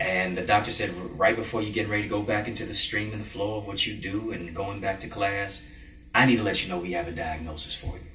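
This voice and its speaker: Fairly quick speech from a man with a fairly low voice, amid noticeable background noise and audible room echo. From Jamaica. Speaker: motivational speaker and mentor. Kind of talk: TV interview.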